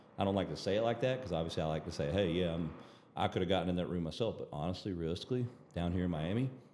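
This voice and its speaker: In a Southern US accent, a man talks very fast in a very deep, low pitch with ordinary pitch variation. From Alabama, US South. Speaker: doctor and peptide clinic owner. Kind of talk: casual chat.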